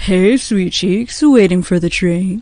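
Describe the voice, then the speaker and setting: Using a put-on character voice, a woman talks at a fairly slow pace and a medium pitch. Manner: sleazy, cocky, flirtatious.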